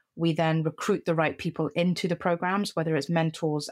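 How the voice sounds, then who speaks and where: A woman's fairly low voice with a British accent, flat and monotone, in a dry, close sound with no echo. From Middle East (Qatar, Cyprus), schooled in UK. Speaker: CEO of a mentoring organisation. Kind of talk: podcast interview.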